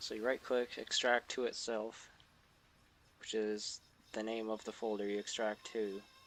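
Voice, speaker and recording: Music plays behind a man whose fairly low voice holds a monotone, flat intonation at a moderate pace. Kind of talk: software tutorial narration. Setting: mic placed far from mouth. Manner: quiet.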